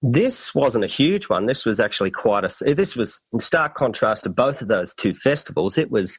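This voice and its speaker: Speaking with an Australian accent, a man at a medium pitch moves through very wide pitch swings at a moderate pace, with hardly any pauses. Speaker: traveler, festival documentary maker. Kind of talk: podcast interview. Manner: animated.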